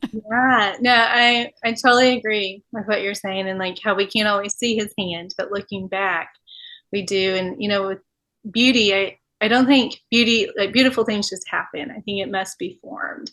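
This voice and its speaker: A woman with an American accent speaks at a medium pitch, her bright, sharp tone carrying ordinary pitch variation over a quiet background. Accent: Texan, some say mild, drawn-out words. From West Texas, Amarillo. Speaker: podcast host. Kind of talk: casual interview chat.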